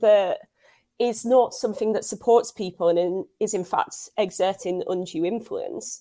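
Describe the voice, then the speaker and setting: With a Scouse accent, the speaker goes at a moderate pace with ordinary pitch variation. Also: woman. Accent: Scouse-tinged English. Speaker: journalist. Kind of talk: casual interview.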